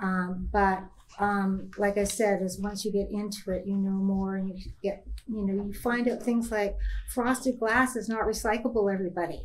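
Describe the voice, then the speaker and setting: A woman's medium-pitched voice moves at a moderate pace in a monotone, flat intonation. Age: 60s. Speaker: entrepreneur, founder of a natural beauty products company. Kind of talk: panel discussion. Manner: casual, hesitant with many fillers.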